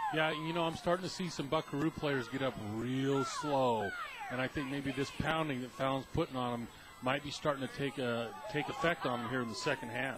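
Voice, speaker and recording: A man talks fairly quickly over noticeable background noise. For a man his pitch sits fairly high, and it varies in an ordinary way. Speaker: radio color commentator. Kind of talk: sports radio color commentary.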